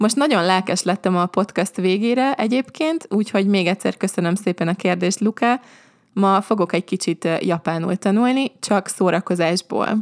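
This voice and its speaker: Her pitch is medium and varies in an ordinary way as the woman speaks. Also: very clean recording, silent background. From Hungary. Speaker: language teacher podcaster. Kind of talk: podcast monologue. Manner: slow and clear for learners.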